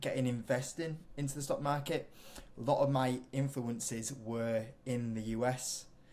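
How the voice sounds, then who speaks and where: Fairly high pitch marks this man's voice. He talks with a British accent. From UK. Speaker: investing YouTuber. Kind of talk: interview.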